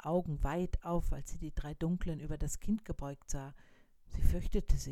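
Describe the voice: What you hear is plain reading aloud.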